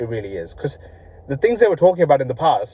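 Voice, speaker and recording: A man mumbles in a somewhat breathy voice with a dark, mellow tone and ordinary pitch variation. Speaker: vlogger. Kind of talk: casual vlog monologue. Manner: halting, stumbling over words; mumbled words.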